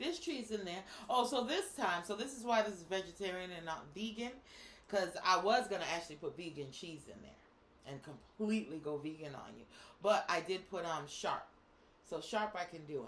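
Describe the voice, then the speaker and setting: A woman with an American accent speaks fairly quickly at a fairly low pitch, with noticeable background noise. Her tone is animated and her intonation lively. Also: big swings in loudness. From Boston. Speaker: co-host. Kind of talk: casual chat.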